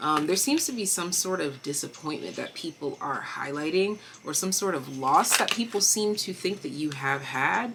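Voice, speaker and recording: With hardly any pauses, a woman talks at a moderate pace in a fairly low pitch. Her intonation is lively, and there is noticeable background noise. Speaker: tarot reader. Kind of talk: tarot reading. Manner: stutters at times.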